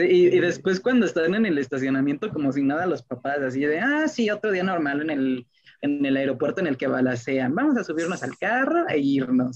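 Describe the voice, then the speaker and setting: A man with a fairly high pitch, lively intonation, a fairly quick pace and hardly any pauses. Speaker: podcast co-host. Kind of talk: casual chat. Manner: halting.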